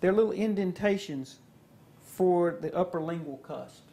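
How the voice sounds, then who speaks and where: A man's high pitch with ordinary pitch variation. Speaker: dentist instructor. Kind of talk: instructional demonstration.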